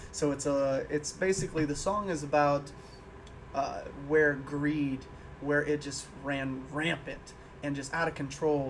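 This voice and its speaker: A man with an American accent and a normal speaking voice talks at a fairly slow pace, using a fairly high pitch and fairly even intonation. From Illinois. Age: 20s. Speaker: musician. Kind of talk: casual chat.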